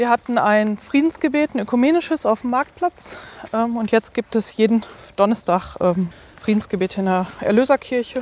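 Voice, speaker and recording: In a normal speaking voice with lively intonation, the speaker goes at a moderate pace, the sound dry and close with no echo. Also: woman, fairly high pitch for a woman. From Ruhr area, Germany. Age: 30s. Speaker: deacon. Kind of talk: interview.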